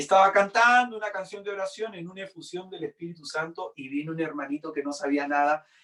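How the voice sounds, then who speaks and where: With lively intonation, a man speaks at a fairly quick pace and a high pitch. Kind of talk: sermon.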